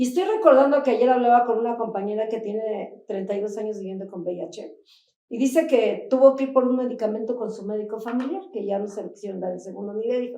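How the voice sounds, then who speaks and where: A woman talks at a very fast pace with ordinary pitch variation. Her loudness swings a lot. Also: fairly high pitch for a woman. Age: 60s. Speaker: HIV activist. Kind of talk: panel discussion. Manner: animated.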